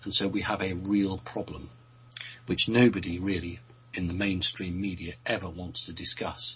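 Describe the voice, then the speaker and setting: With a British accent, a man speaks at a moderate pace in a very deep, low voice with fairly even intonation. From Britain. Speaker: radio show guest answering questions. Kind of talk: casual chat. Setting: radio show.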